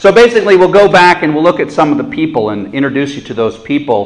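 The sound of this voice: Talking at a fast pace, a man with a fairly high pitch shows ordinary pitch variation.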